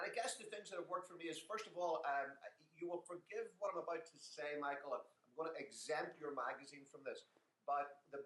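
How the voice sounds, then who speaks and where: A high-pitched man with an Irish accent speaks at a fairly quick pace, with ordinary pitch variation and big swings in loudness. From Ireland. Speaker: business consultant and author. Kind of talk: interview.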